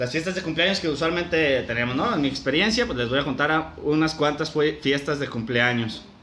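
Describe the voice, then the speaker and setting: Amid noticeable background noise and audible room echo, a man speaks fairly quickly with ordinary pitch variation. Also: fairly high pitch for a man. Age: 20s. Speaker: podcast host. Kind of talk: casual storytelling.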